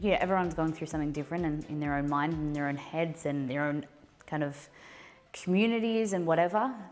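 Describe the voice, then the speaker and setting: Over music in the background, a woman with a very deep, low voice talks at a very fast pace with ordinary pitch variation. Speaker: live streamer. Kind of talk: live stream chat reading. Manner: soft-spoken; halting.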